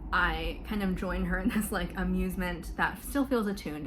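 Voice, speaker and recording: A woman with an American accent talks at a fairly quick pace. Audible room echo and noticeable background noise fill the recording. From US South, Florida. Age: 20s. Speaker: mental health vlogger. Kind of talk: personal testimony. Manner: casual, many fillers.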